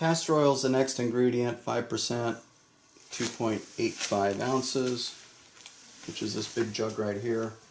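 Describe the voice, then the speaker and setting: A man speaks at a medium pitch. His pace is fairly slow. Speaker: soap maker. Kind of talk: tutorial. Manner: halting.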